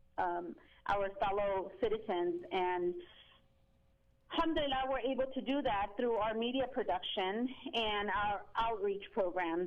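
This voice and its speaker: A woman with a Spanish accent and a fairly high pitch. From Mexico. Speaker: Islamic outreach organizer. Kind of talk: interview. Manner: halting.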